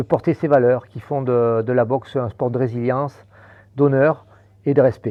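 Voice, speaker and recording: A man's medium-pitched voice, fairly even in intonation, broken by long, frequent pauses. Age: 60s. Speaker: boxing coach. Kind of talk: podcast interview. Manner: hesitant, many fillers and repetitions.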